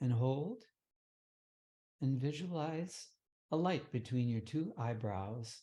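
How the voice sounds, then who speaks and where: A man speaks at medium pitch in a calm tone that is dark and mellow. His intonation is lively and his voice somewhat breathy. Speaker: meditation teacher. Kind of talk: guided meditation. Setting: online session. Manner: calm, lowered tone.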